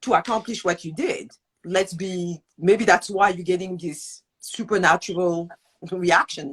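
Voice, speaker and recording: A woman at medium pitch talks at a fairly slow pace in a somewhat breathy voice. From France. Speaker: show host, entrepreneur. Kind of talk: interview. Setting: live online video interview.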